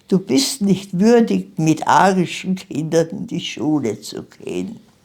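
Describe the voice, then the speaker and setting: A woman's dark, mellow voice moves at a very slow pace. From Austria, Vienna. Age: 90s. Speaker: Holocaust survivor. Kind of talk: interview testimony.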